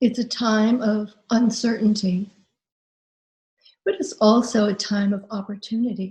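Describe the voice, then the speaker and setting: Speaking at a fairly slow pace, a woman uses a fairly high pitch and fairly even intonation, with long, frequent pauses. Her tone is gentle and somewhat breathy. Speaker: hypnotherapist and life transformation coach. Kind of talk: guided imagery hypnosis session. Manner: slow, gentle, calming.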